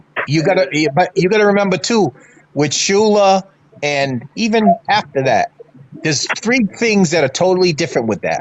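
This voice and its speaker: A high-pitched man with an American accent and lively intonation at a moderate pace, over noticeable background noise. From Massachusetts. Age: 60s. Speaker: fan panelist. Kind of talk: casual sports talk. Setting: live stream.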